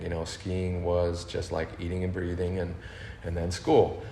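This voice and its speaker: A man's very deep, low voice at a moderate pace, with audible room echo and noticeable background noise. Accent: American. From Northern California (Berkeley), early childhood in Austria. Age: 50s. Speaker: big wave water skier, action sports athlete. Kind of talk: podcast interview.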